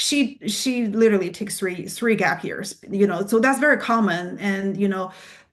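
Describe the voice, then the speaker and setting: The woman's voice sits at a medium pitch, with ordinary pitch variation and a moderate pace. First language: not English. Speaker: PA program admissions representative. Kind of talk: Q&A answers at admissions presentation. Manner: halting, many fillers and restarts.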